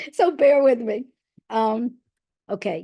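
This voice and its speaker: A woman's dark, mellow voice with a New York accent, at a very slow pace and with ordinary pitch variation. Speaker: reading specialist and educator. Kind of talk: presentation.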